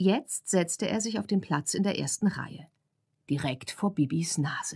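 A woman speaks in an animated tone at a moderate pace, her voice somewhat breathy. The recording is very clean, with a silent background. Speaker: audiobook narrator. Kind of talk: audiobook reading, bedtime story for children. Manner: animated, expressive storytelling with character voices.

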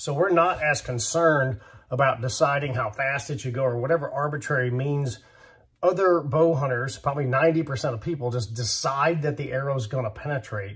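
Moving at a moderate pace, a man speaks in an ordinary speaking voice, fairly high in pitch with ordinary pitch variation. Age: 50s. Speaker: bowhunting YouTuber. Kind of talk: casual monologue.

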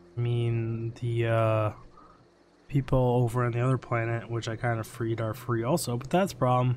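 A man speaks at a medium pitch with a slightly mellow tone. His intonation is fairly even and his pace moderate.

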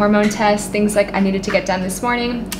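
Against noticeable background noise, a woman speaks at a fairly quick pace in a monotone, flat intonation. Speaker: entrepreneur vlogger. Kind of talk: casual vlog chat. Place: home room. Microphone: camera far.

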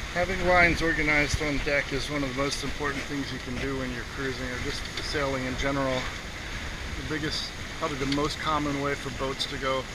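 The speech moves at a fairly quick pace over loud background noise. The sound is dry with no echo. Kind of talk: casual sailing commentary. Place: boat.

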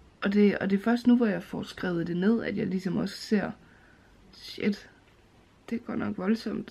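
A woman speaks at a moderate pace in a flat monotone, her dark, mellow tone edged with vocal fry. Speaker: vlogger. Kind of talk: casual vlog chat. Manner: groggy, slow drowsy speech. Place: home room. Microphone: phone near.

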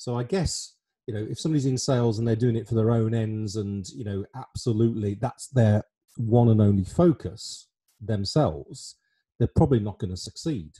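A man's dark, mellow, somewhat breathy voice in an English accent, at a moderate pace with ordinary pitch variation and a quiet background. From England. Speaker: online show host and life planner; online show host. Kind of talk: casual interview chat. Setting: video call. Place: home room. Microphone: studio mic.

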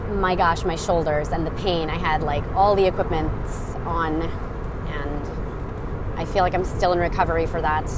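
A woman speaks at a fairly slow pace. The sound is dry with no echo, but loud background noise runs underneath. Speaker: livestreamer. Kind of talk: casual vlog chat. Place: car. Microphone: earbuds.

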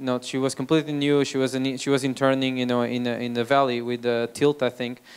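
A man talks at a very fast pace with a Portuguese accent. His medium-pitched delivery is monotone and flat. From Portugal. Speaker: startup founder and CEO; speaker. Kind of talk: talk to audience. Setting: stage with audience. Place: hall. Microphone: handheld.

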